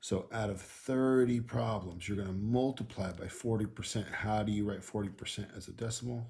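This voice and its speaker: Somewhat breathy and dark, mellow in tone, a man speaks at a fairly low pitch with fairly even intonation and a moderate pace. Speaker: school math teacher. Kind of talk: tutorial. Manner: casual.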